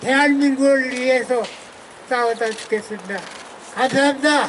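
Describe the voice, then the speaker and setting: Amid audible room echo and noticeable background noise, a man speaks at an extremely high pitch with fairly even intonation. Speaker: former prisoner of war. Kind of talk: press conference statement.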